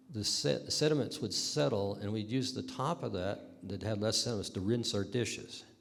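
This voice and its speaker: The man's voice is fairly low and carries vocal fry. He keeps a moderate pace, and audible room echo surrounds him. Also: ordinary pitch variation. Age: 70s. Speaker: river runner and historical society member. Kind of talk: oral history talk to an audience.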